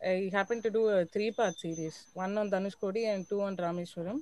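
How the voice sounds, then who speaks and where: With a Tamil accent, a woman talks at a fairly quick pace in a medium pitch, her tone dark and mellow and her intonation fairly even. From Chennai, India. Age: 20s. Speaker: journalist. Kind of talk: interview. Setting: live stream.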